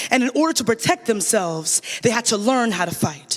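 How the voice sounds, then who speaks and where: A man speaks at a fairly quick pace in an extremely high pitch, with lively intonation and noticeable background noise. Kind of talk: spoken word poetry performance at a gala, paired with a co-performer.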